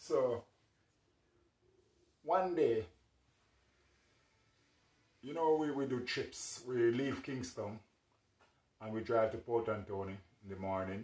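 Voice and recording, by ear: A man speaks slowly with long, frequent pauses and fairly even intonation. His tone is slightly mellow, and the room echo is audible. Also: medium pitch for a man.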